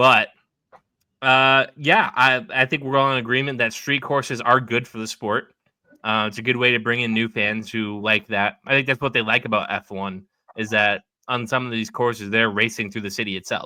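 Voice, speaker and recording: This man has a New England accent and a medium pitch. He talks at a moderate pace with fairly even intonation. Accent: Yankee. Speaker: podcast host. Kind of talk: casual chat.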